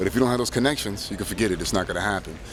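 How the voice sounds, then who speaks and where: A man's voice over noticeable background noise. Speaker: DJ. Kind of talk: casual vlog. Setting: airport. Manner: loud.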